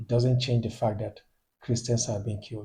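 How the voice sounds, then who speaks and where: A man's medium-pitched, somewhat breathy voice with a dark, mellow tone and fairly even intonation. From Nigeria, northeast (Borno State). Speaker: YouTube commentator. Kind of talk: video commentary monologue. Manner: hesitant, with fillers and repetitions.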